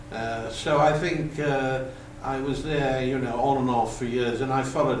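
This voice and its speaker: A man speaks at a moderate pace with fairly even intonation. Noticeable background noise and audible room echo surround him. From England. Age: 60s. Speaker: foreign correspondent. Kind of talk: interview. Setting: studio. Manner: hesitant, many fillers.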